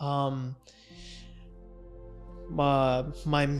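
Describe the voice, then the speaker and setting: A man is speaking. Music plays in the background. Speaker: stuttering awareness vlogger. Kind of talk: personal talk to camera.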